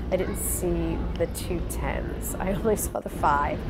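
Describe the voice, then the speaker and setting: A woman's voice against loud background noise. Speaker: reseller shopping. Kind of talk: casual vlog chat. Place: hall. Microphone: phone near.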